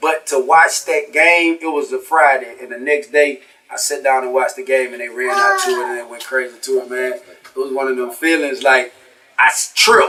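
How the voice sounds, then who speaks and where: The speaker has a Louisiana accent and a moderate pace. Loudness swings widely while pitch variation stays ordinary. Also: man, fairly high pitch for a man. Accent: Southern US, Louisiana. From North Louisiana, small town. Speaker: rapper. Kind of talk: casual interview.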